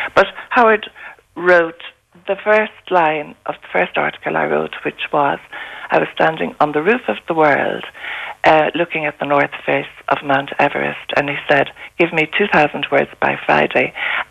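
A woman with an Irish accent speaks at a moderate pace over noticeable background noise. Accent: Irish (Galway). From East Galway, Ireland. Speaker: author and traveller. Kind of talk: radio interview. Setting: phone call. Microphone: echo and slight hum on the line.

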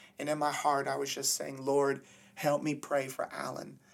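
With an American accent, a man speaks at a moderate pace in a fairly high voice. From Florida, US. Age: 30s. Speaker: evangelist preacher. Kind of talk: testimony in interview.

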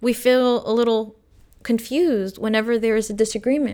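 Very clean recording, silent background. A soft-spoken woman with a fairly high pitch talks at a moderate pace. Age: 30s. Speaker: podcast host and abuse survivor. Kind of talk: solo monologue about personal experience. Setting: solo podcast. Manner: soft-spoken, articulate.

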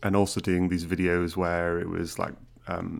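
With a Teesside accent, a man speaks at a fairly quick pace in a very deep, low pitch and monotone, flat intonation. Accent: northern English, Teesside. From Middlesbrough, northern England. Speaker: doctor and medical educator. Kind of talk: casual interview chat.

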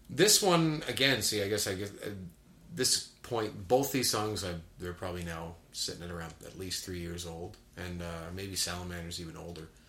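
With noticeable background noise, a man speaks at a very deep, low pitch and his loudness swings widely. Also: ordinary pitch variation, moderate pace. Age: 40s.

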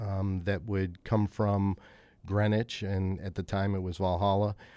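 The recording is very clean, with a silent background. A man with a dark, mellow tone and a fairly low pitch speaks at a fairly slow pace. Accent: American. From Chicago. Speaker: trading desk head. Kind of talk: interview.

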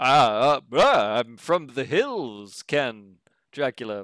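A man's put-on, nasal character voice at a medium pitch and very slow pace, with a dry, close sound, no echo, and a very clean, silent background. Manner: eccentric.

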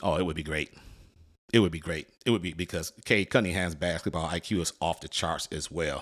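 A man with an American accent speaks fairly quickly in an animated tone at a very deep, low pitch. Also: very clean recording, silent background. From Detroit, US Midwest. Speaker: sports podcast host. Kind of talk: casual monologue.

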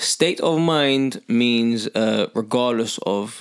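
A man is speaking. He has an unremarkable speaking voice. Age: 30s. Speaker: personal trainer. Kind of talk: casual chat.

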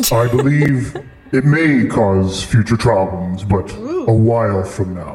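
A man at medium pitch puts on a resonant character voice, speaking at a fairly slow pace with a slight echo. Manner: ominous, foreboding.

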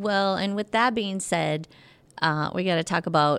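Speaking at a fairly slow pace, a woman shows vocal fry and ordinary pitch variation. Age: 50s. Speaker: personal trainer. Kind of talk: casual chat.

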